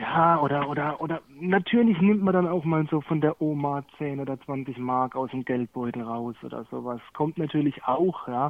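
Using an ordinary speaking voice, a man talks at a moderate pace and fairly high pitch, with ordinary pitch variation. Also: hardly any pauses. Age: 30s. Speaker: guest recovering from cannabis addiction. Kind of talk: casual conversation. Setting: remote call.

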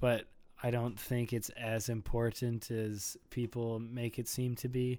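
In an Upper Midwest accent, a man speaks at a fairly slow pace in a flat monotone, his medium-pitched voice dark and mellow. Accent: Upper Midwest American. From US Midwest, Minnesota. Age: 20s. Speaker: lifestyle brand founder. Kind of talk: casual chat. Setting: home recording.

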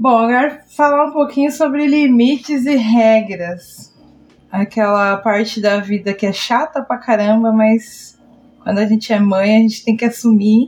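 Fairly slow, somewhat breathy woman's voice, fairly high in pitch with ordinary pitch variation. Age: 30s. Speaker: podcast host. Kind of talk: casual chat.

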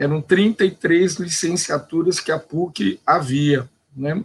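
With ordinary pitch variation, a man's voice sits at a fairly high pitch. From Brazil, São Paulo state interior. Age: 50s. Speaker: teacher and philosopher. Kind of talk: panel discussion. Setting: live online stream.

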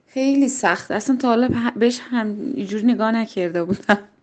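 A woman with a high voice at a moderate pace. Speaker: local interviewee. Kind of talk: recorded voice message answers. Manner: thoughtful.

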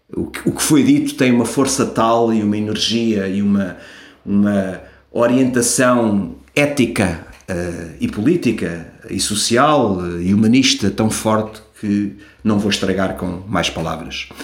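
With a European Portuguese accent, the speaker talks at a fairly slow pace with ordinary pitch variation amid audible room echo. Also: man, fairly low pitch for a man. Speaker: podcast host. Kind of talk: solo commentary podcast. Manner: halting.

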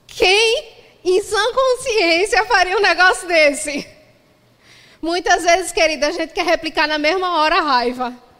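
A woman's raised, projected voice at an extremely high pitch, fairly slow in pace, with lively intonation. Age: 30s. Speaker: pastor. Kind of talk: sermon.

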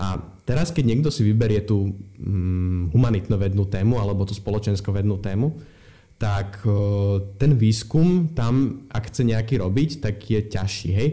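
The man's voice is dark, mellow and somewhat breathy, pitched fairly low. He speaks at a fairly slow pace with ordinary pitch variation. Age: young. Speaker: student activist. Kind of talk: interview.

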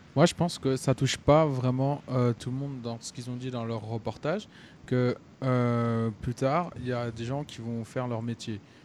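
With a normal speaking voice, a man talks at medium pitch and a moderate pace with fairly even intonation. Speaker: young sports bettor. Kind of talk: casual chat.

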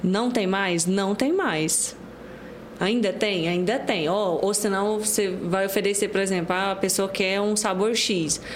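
Fairly even intonation and very even loudness from a woman of medium pitch at a fairly slow pace, with audible room echo and noticeable background noise. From Goiás, Brazil (Pontalina). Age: 20s. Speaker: baker, cookie business owner. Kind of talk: casual interview.

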